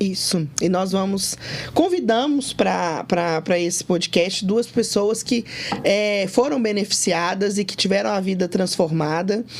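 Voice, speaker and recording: Noticeable background noise sits behind a woman speaking at a fairly slow pace. Her pitch is medium, with ordinary pitch variation. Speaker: company CEO and podcast co-host. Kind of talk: podcast conversation.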